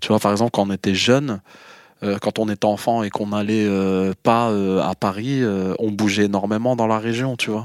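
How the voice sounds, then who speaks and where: On a very clean recording with a silent background and a dry, close sound with no echo, a man speaks at a moderate pace in a fairly low, monotone, flat voice. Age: 40s. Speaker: interviewee. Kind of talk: personal testimony.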